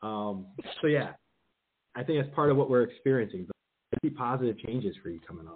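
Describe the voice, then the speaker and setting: Speaking at a fairly quick pace with an American accent, a man uses a medium pitch and lively intonation. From New Jersey. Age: 40s. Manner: fast talker.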